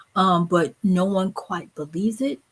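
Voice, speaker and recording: A woman talks in a somewhat breathy, fairly low voice with ordinary pitch variation. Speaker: book vlogger / livestream host. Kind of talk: casual livestream chat. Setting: livestream with live comments.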